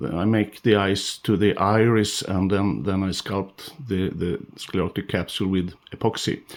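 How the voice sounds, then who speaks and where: The speaker goes at a fairly slow pace with fairly even intonation and hardly any pauses. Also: man, fairly low pitch for a man. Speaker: fish carver, sculpting tutor. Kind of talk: tutorial. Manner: halting, many fillers.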